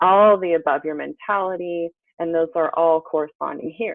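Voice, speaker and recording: A woman with an unremarkable speaking voice talks at a moderate pace in a fairly low pitch. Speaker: health coach. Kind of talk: webinar presentation.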